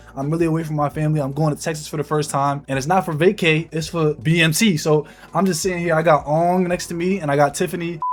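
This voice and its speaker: Talking at a very fast pace in an animated tone, a man with a high-pitched voice comes through over noticeable background noise. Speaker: Air Force member vlogging about basic training. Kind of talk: casual vlog storytelling.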